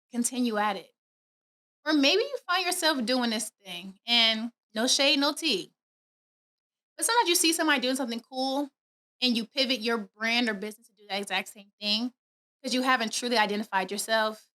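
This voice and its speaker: A high-pitched woman speaks at a fairly quick pace in a bright, sharp, animated tone with lively intonation, big swings in loudness and long, frequent pauses, the sound dry and close with no echo. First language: not English. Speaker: podcast host. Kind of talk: motivational podcast monologue. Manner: fast.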